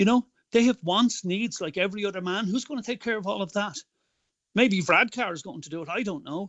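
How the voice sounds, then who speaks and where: With an Irish accent, a man talks at a fairly quick pace in a high pitch, showing ordinary pitch variation and big swings in loudness. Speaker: political activist. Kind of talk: interview.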